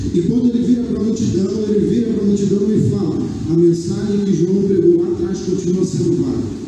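A man speaks at a high pitch and a fairly quick pace with hardly any pauses. His intonation is fairly even, and there is noticeable background noise. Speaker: pastor. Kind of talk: sermon. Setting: church, livestreamed. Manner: earnest, pleading exhortation, warm and reassuring; rhythmic, repeating phrases for emphasis.

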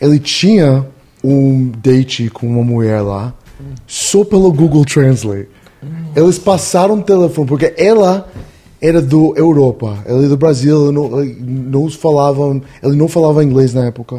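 With a Spanish accent, a man speaks at a moderate pace in a fairly high pitch with ordinary pitch variation. His tone is dark, mellow and somewhat breathy. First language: Spanish (speaking Portuguese). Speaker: podcast guest. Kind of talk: casual chat.

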